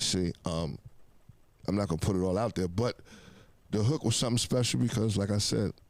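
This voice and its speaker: The speaker moves at a fairly quick pace with long, frequent pauses, keeping loudness very even and pitch variation ordinary. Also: man, fairly low pitch for a man. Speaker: rapper. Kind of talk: interview.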